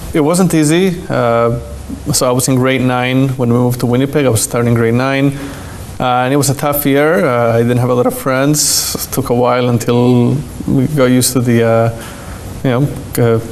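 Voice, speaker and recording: A man speaks at a moderate pace and medium pitch with a slight Argentine accent, his intonation fairly even and his loudness very even. Audible room echo and noticeable background noise surround him. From Argentina, Buenos Aires. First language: Spanish. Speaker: rabbi. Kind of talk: interview.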